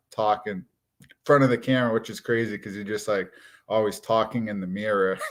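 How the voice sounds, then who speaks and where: A man's fairly low voice in a strong Massachusetts accent, fairly even in intonation, on a very clean recording with a silent background. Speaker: watch YouTuber. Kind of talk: live stream casual chat. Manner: casual, conversational.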